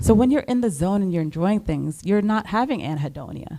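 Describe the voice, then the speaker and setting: A woman with a Trinidadian accent speaks at a fairly quick pace, her tone dark and mellow and her intonation lively. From Trinidad, raised partly in New Jersey. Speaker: psychiatrist. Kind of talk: panel interview on stage.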